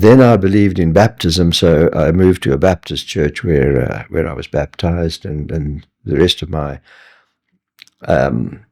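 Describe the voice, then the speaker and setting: A man with a South African accent speaks at a fairly slow pace, his pitch very deep and low. His tone is dark and mellow, with vocal fry and ordinary pitch variation. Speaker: retired scientist and Bible teacher. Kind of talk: interview testimony.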